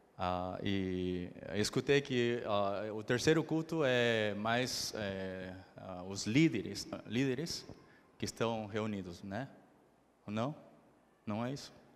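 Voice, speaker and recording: In a room with audible echo, a man speaks at a very slow pace with long, frequent pauses, in a fairly low voice with ordinary pitch variation. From Brazil then Argentina from age ten. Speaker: missionary preacher. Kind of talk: sermon. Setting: church service. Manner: halting, many fillers.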